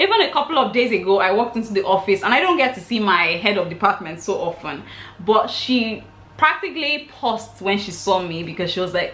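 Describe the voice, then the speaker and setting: Over noticeable background noise and audible room echo, a woman talks at a fairly quick pace. Her pitch is medium and her intonation lively. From Nigeria. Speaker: vlogger. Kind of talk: storytime vlog.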